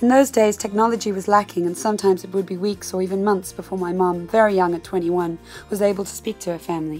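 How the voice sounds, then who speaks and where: Music plays in the background as a woman talks at a very fast pace with fairly even intonation. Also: medium pitch for a woman. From South Africa. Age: 20s. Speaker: actress. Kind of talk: personal essay reading.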